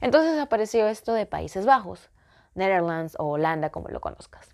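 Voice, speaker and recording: Quiet surroundings behind a woman's voice. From Ecuador. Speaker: vlogger. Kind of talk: personal vlog storytelling. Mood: reflective, personal storytelling. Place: home room. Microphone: phone near.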